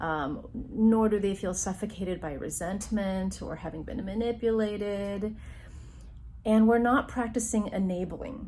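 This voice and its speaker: Here a woman speaks with a somewhat breathy, medium-pitched voice and a dark, mellow tone. Her pace is fairly slow, her pitch variation is ordinary, and audible room echo surrounds her. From US, Taiwanese Chinese immigrant family. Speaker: university counselor, psychologist. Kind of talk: educational talk to camera.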